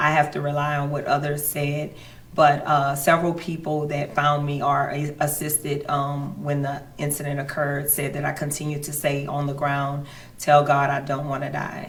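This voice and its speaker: A woman with a Louisiana accent speaks at a moderate pace, very deep and low in pitch, in a monotone, flat intonation. Audible room echo and noticeable background noise accompany her. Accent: Louisiana Southern US. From Louisiana, St. Landry Parish. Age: 40s. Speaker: judge. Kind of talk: interview. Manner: halting.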